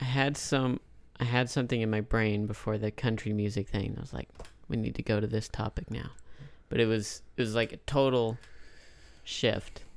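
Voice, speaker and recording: Here a man speaks at a medium pitch and a moderate pace, with long, frequent pauses. His intonation is fairly even, and the recording is very clean with a silent background. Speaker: podcast host. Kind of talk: casual chat.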